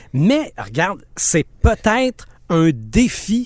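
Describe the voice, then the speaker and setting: A man's voice with very wide pitch swings. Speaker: podcast co-host. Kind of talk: casual chat.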